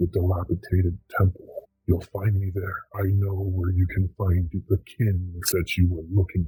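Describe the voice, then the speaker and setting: Putting on a character voice, a man speaks at a moderate pace with a very deep, low pitch and monotone, flat intonation. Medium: actual play. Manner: cryptic, insistent.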